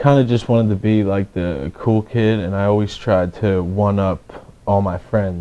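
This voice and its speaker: Someone with a Philadelphia accent talks at a moderate pace against noticeable background noise. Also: man. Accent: Philadelphia-area American. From Pennsylvania, Levittown. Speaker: person in addiction recovery. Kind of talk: testimony. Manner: halting.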